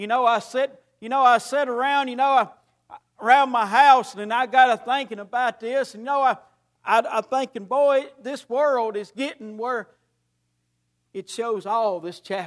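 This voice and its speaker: In a Tennessee accent, a man speaks at a moderate pace with an extremely high pitch and fairly even intonation. His loudness swings widely on a very clean recording with a silent background. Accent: Southern US (Tennessee). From US South, Middle Tennessee. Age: 50s. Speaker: preacher. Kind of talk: sermon.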